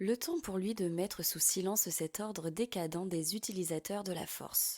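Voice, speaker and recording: At a moderate pace, a woman uses an unremarkable speaking voice with medium pitch and ordinary pitch variation. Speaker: voice-over narrator. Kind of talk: audiobook fiction narration.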